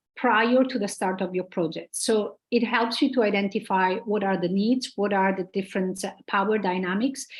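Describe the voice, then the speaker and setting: The speaker is a woman with a somewhat breathy voice. Her intonation is fairly even. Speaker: conference speaker on gender inclusion. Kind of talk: conference presentation.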